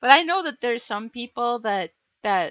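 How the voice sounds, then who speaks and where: Her intonation is lively. The woman talks with an American accent. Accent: Minnesota accent, stronger after visits home. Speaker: livestreamer reading books aloud. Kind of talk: casual livestream chat, reading viewer comments. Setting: live stream.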